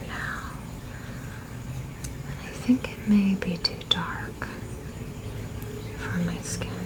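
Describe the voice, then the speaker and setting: A woman whispering at a very slow pace, with noticeable background noise. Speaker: ASMR creator. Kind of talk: ASMR makeup show and tell. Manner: soft-spoken, whispered.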